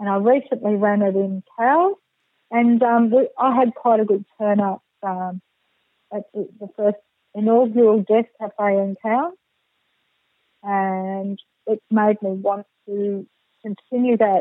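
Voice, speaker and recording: Speaking with an Australian accent, a woman keeps a fairly slow pace. Long pauses come often. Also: medium pitch for a woman, fairly even intonation. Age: 60s. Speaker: counsellor and death doula. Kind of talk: interview.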